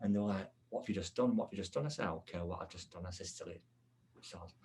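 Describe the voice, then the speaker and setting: Talking at a very fast pace, a man sounds somewhat breathy, with a very deep, low pitch, ordinary pitch variation, and big swings in loudness. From England. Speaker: podcast host and medium. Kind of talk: casual chat.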